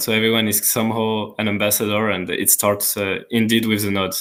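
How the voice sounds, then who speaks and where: Here a man speaks at a fairly quick pace with a French accent. His fairly low voice is monotone and flat. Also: very clean recording, silent background. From France. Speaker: community manager. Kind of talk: live Q&A stream. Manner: hesitant, many fillers.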